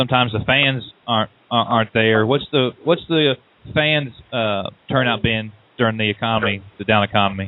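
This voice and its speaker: A man speaks in a Southern US accent at a medium pitch and moderate pace. His loudness stays very even, and his pitch varies in an ordinary way. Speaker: radio show host. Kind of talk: radio interview.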